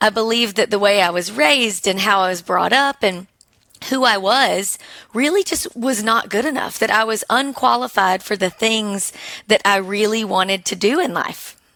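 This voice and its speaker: A woman with an Alabama accent, fairly high in pitch with a bright, sharp tone, ordinary pitch variation and a moderate pace. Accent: charming Alabama. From Alabama, small town. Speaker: business owner, military spouse. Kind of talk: podcast interview.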